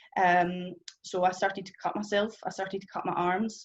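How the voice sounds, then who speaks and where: A woman with a strong Scottish accent and a fairly low pitch. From Scotland. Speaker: testimony speaker. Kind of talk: testimony. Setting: stage with audience. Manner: fast.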